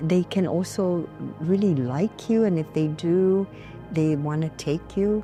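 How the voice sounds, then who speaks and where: With music in the background, a woman talks in a very deep, low voice with ordinary pitch variation. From Guam. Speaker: storyteller and cultural practitioner. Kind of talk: interview answer.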